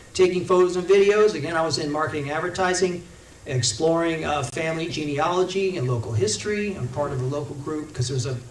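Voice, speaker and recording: A man with an American accent at a very fast pace, fairly high-pitched, with ordinary pitch variation, audible room echo and noticeable background noise. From Indiana. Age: 60s. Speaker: congressional candidate. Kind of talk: campaign talk to a local meeting.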